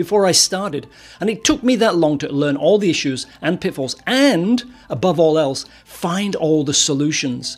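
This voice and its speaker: A high-pitched man with lively intonation, over noticeable background noise. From northern England. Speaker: web performance consultant and course instructor. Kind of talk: course introduction, direct address.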